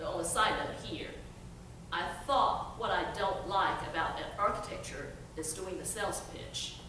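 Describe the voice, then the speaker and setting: A woman's speech full of long, frequent pauses, with audible room echo and noticeable background noise. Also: moderate pace. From China, raised from teens in Chattanooga, Tennessee. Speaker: workforce development trainer. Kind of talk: storytelling talk. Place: hall. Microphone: podium.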